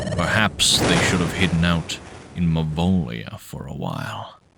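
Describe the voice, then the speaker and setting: The man adopts a put-on character voice, pitched very deep and low, and keeps to a moderate pace. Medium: game stream.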